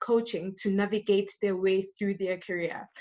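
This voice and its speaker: Against a quiet background, a woman speaks at a moderate pace with a medium pitch. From South Africa, Durban township (KwaZulu-Natal). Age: 20s. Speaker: business coach and audit firm manager. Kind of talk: live interview. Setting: live online chat. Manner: hesitant, many fillers.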